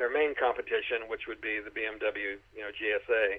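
A plain, everyday voice at a moderate pace, with fairly even intonation. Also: man. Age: 60s. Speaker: motorcycle YouTuber. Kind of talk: casual interview. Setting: phone call.

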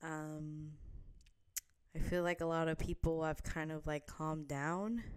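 Speaking slowly-ish with a very deep, low pitch, a woman with an American accent keeps her intonation fairly even at a fairly slow pace. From New Jersey. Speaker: podcast host. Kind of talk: casual solo vlog-style chat. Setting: home apartment, video recording. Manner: hesitant, many fillers and laughs.

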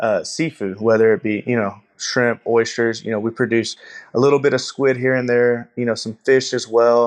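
In a Texan accent, the speaker talks at a moderate pace with fairly even intonation against a quiet background. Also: man. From Texas, Gulf Coast. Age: 20s. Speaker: shrimper and oyster farmer. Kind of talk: interview.

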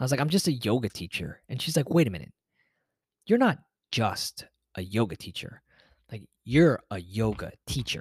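Through a very clean, dry, close recording with a silent background and no echo, a man with a somewhat breathy medium-pitched voice talks at a moderate pace, with big swings in loudness and long, frequent pauses. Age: 30s. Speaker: podcast host and yoga teacher. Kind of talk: motivational solo podcast monologue. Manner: casual, conversational with fillers.

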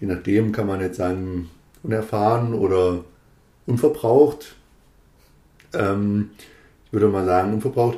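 Man's fairly low, dark, mellow voice at a fairly slow pace, with long, frequent pauses and ordinary pitch variation. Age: 40s. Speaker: politician, district administrator candidate. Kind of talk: casual chat.

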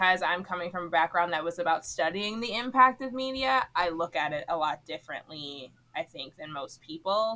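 Here is a plain, everyday voice from a woman with an American accent and a fairly low pitch. Her intonation is lively, and her loudness swings widely. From Miami, Florida. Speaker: TV writer. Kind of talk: casual interview chat.

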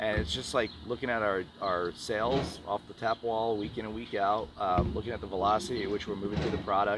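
With an American accent and a fairly low voice, a man talks fairly quickly with hardly any pauses over noticeable background noise. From New York. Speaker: brewery co-founder. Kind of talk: casual chat. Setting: outdoors.

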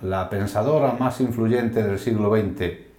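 A man's fairly slow speech with ordinary pitch variation, audible room echo and noticeable background noise. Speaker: podcast host. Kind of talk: scripted narration. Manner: formal.

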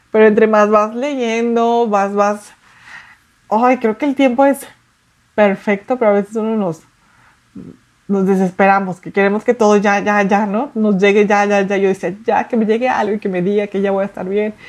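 A woman at a medium pitch speaks at a moderate pace with fairly even intonation, a normal speaking voice. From Mexico City. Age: 30s. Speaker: artist. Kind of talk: interview testimony.

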